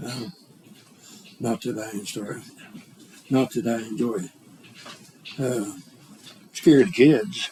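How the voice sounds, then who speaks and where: A man's medium-pitched voice in an Arkansas accent, very slow with long, frequent pauses, lively intonation, big swings in loudness and noticeable background noise. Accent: Southern US, Arkansas. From US South, Arkansas. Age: 70s. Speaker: interviewee grandfather. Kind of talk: oral history interview. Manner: halting.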